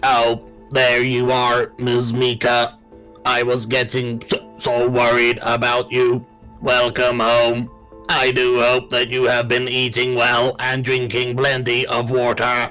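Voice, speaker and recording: Faint music plays behind a man using a put-on character voice that sounds robotic and raspy, pitched at a medium level. He delivers it at a fairly slow pace in a monotone, flat intonation. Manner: polite, caring, welcoming.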